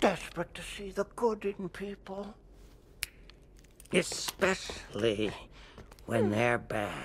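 A man slowly performs a put-on character voice. It sits high for a man and has big pitch swings.

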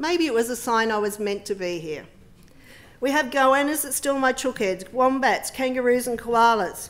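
A high-pitched woman's voice with an Australian accent, moderate in pace, with very wide pitch swings and big swings in loudness. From Western Sydney, Australia; New South Wales, Australia. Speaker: politician. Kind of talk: speech. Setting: parliament chamber with public gallery. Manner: formal. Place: hall. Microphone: podium.

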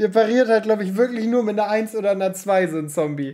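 A man's high voice at a fast pace with ordinary pitch variation. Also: slightly mellow tone.

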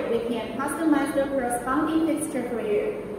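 A woman talks at a moderate pace with fairly even intonation. Strong room echo and noticeable background noise surround her voice. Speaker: product demonstrator. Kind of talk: tutorial. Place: workshop. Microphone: camera far.

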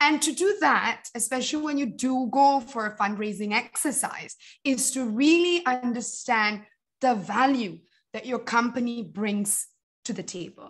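A woman with a high pitch and lively intonation speaks at a fairly slow pace over a quiet background. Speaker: social entrepreneur, company founder; guest. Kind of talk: talk with slides. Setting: video call. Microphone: video call.

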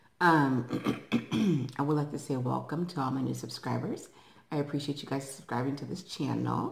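A woman talks at a moderate pace in a very deep, low pitch. Room echo is audible. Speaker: eating vlogger. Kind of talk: casual vlog chat. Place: home room. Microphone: phone near.

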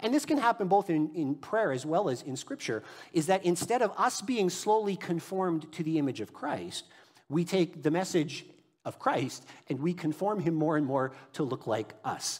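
A man talks at a moderate pace. Behind him, the background is quiet. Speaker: pastor. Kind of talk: sermon. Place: church.

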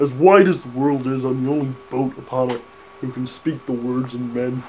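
A man speaks at a moderate pace. Light background noise can be heard. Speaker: gamer reading dialogue. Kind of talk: comic game commentary, mock character voice. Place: home room.

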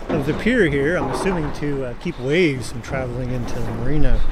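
Over music in the background, a man talks at a fairly quick pace with ordinary pitch variation, the sound dry with no echo. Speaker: ship-watching vlogger. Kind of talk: casual vlog chat. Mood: amused, relaxed. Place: waterside. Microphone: phone near.

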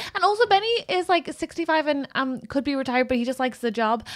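Over a quiet background, a woman talks with lively intonation. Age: 30s. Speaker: comedy podcast co-host; podcast co-host. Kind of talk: casual chat. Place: studio. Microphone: studio mic.

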